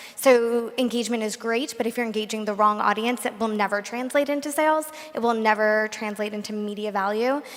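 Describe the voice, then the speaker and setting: Fairly high-pitched woman at a fairly quick pace, hardly any pauses, noticeable background noise. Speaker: marketing executive. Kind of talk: panel discussion. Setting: stage with audience.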